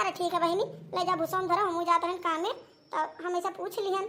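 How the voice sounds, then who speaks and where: A woman's cartoonish character voice, extremely high in pitch, very fast, with fairly even intonation. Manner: prying, inquisitive.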